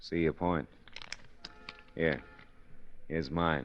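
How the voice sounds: A man does a put-on character voice at extremely low pitch. He speaks at a very slow pace with ordinary pitch variation.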